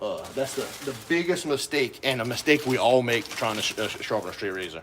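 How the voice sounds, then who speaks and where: A man speaks fairly quickly, with noticeable noise in the background. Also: medium pitch for a man, lively intonation. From Louisiana, Cajun Prairie. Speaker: razor and knife sharpening streamer. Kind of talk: live-stream tutorial.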